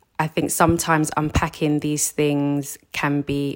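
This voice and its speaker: A woman speaks with a London accent at a very deep, low pitch. The recording is very clean, with a silent background. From South London. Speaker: counselor. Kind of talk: casual chat.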